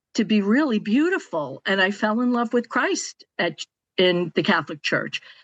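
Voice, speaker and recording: Against a quiet background, an ordinary speaking voice moves at a moderate pace with a dry, close sound and no echo. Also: woman. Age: 60s. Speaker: podcast panelist. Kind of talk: personal testimony in panel discussion.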